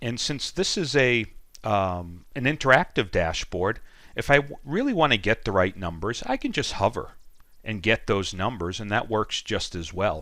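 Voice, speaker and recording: In a Boston accent, a man speaks at a medium pitch and moderate pace with lively intonation and a bright, sharp tone, on a very clean recording with a silent background. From Boston, USA. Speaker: data analytics trainer. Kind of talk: software tutorial screencast. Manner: casual, with frequent ums and ahs.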